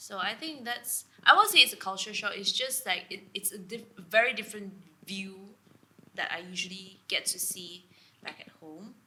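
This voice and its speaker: A woman with a Sabahan accent and a fairly high pitch speaks at a moderate pace with ordinary pitch variation and big swings in loudness over noticeable background noise. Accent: Malaysian (Sabahan) English. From Sabah, East Malaysia. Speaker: guest co-host. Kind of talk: casual chat.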